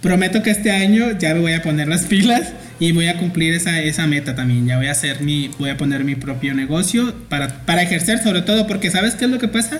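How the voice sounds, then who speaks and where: With noticeable background noise, a man speaks at a fairly quick pace with high pitch, lively intonation and hardly any pauses. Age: 30s. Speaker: podcast host, graphic designer. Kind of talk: casual chat.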